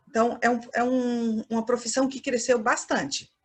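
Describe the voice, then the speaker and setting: A woman speaks at a moderate pace with a Minas Gerais accent. Her pitch is fairly high. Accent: mineiro (Minas Gerais). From Minas Gerais, Brazil, near Bahia border. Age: 50s. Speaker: fashion professor. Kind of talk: lecture.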